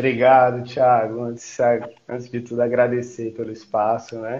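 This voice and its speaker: At a medium pitch and a moderate pace, a man talks in an ordinary speaking voice. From Piauí, Brazil (Campo Maior). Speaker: historian, researcher. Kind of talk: interview on a live stream. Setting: video call. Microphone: echo, audio feedback through his mic.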